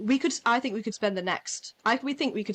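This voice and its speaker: Pitch variation here is ordinary. The pace is fairly quick. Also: woman. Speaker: podcast co-host. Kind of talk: casual chat. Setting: home, headphones on, windows open. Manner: loud.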